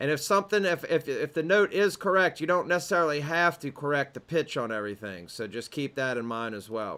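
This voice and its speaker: A man with a Southern US accent talks at a fairly quick pace with hardly any pauses. His fairly high voice has a bright, sharp tone and very wide pitch swings. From US South. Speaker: music production teacher. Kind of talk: tutorial. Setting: home studio. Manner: casual.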